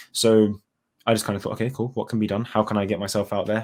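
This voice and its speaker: A confident, fairly low-pitched man in a monotone, flat delivery, on a very clean recording with a silent background. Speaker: dental student. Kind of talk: casual interview chat.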